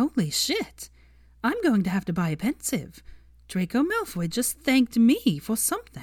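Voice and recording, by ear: In a put-on character voice, a woman talks fairly slowly at a fairly high pitch, her slightly mellow tone swinging very widely in pitch.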